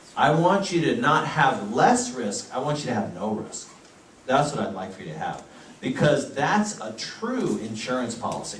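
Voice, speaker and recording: The speech moves at a moderate pace with very wide pitch swings, over noticeable background noise and audible room echo. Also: man. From United States. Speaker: physician giving health talks. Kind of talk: health lecture.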